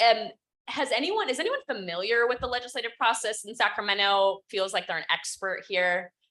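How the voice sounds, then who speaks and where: A woman speaks with a bright, sharp tone. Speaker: policy advocate. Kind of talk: panel presentation. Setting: conference room with audience, also on Zoom. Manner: fast.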